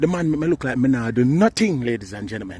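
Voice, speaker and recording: Delivered very fast with lively intonation, this voice has a dark, mellow tone and speaks with a Jamaican accent. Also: man. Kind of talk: casual talk to camera. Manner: excited, animated.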